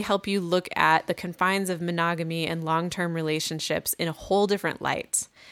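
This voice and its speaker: With an American accent, a woman at a medium pitch uses an ordinary speaking voice at a moderate pace on a very clean recording with a silent background. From US Midwest. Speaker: podcast co-host, relationship advice. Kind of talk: casual advice chat.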